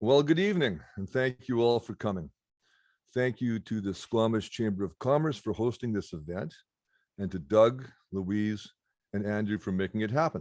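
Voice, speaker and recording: Delivered at a moderate pace with lively intonation in a western Canadian accent, the voice sounds dry and close with no echo. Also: man, fairly low pitch for a man. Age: 60s. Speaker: political candidate. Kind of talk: campaign speech. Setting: video call.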